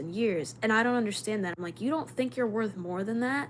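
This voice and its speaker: Her speech has lively intonation at a medium pitch for a woman. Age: 30s. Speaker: livestreamer. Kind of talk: casual chat. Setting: livestream. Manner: fast.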